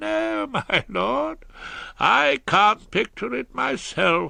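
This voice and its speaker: In a put-on character voice at a medium pitch, a man speaks very slowly with very wide pitch swings, the sound dry and close with no echo. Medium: read story. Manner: deferential.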